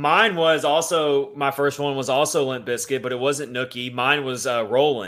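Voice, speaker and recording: A man with a normal speaking voice and a fairly high pitch talks at a moderate pace with ordinary pitch variation and hardly any pauses. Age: 30s. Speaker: hockey podcast host. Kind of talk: casual chat.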